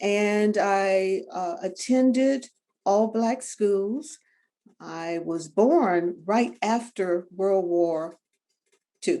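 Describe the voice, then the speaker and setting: A very slow, dark, mellow voice with lively intonation and a Southern US accent. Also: woman, medium pitch for a woman. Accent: Southern American. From US South, Tampa, Florida. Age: 70s. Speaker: retired attorney and journalist. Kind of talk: interview. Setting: video call.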